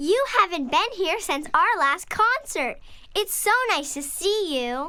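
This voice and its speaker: An extremely high-pitched, fairly slow put-on character voice. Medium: read story.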